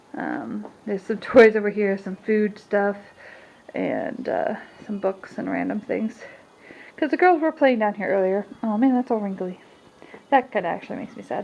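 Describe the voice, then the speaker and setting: Long, frequent pauses run through this woman's speech. Her intonation is lively. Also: medium pitch for a woman. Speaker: stay-at-home mom vlogger. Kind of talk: casual vlog talk to camera. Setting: at home. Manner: fast.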